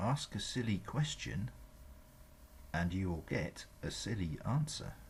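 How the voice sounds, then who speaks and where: This man's voice is very deep and low, with vocal fry and very wide pitch swings. He speaks at a very slow pace. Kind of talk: proverb reading for language learners.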